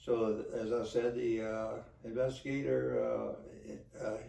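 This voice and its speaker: Room reverberation is clearly heard. The speaker is a man. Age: 80s+. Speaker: retired police officer. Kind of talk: storytelling monologue. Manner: halting, many fillers.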